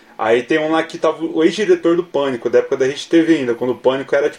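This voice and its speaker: Over background music, a man talks at a fairly quick pace and fairly high pitch. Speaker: podcast co-host. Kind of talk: casual chat.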